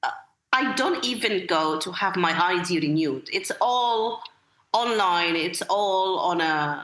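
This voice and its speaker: A woman with an Arabic accent at a very slow pace, with very wide pitch swings and music in the background. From Egypt. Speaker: school literacy director and accreditation expert. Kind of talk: podcast interview. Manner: repetitive, hesitant with many fillers.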